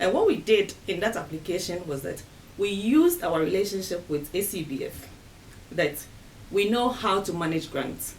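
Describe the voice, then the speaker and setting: A woman speaks at a medium pitch and moderate pace with ordinary pitch variation. Noticeable background noise runs under her voice. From Ghana. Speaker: women's rights fund staff member. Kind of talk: interview answer.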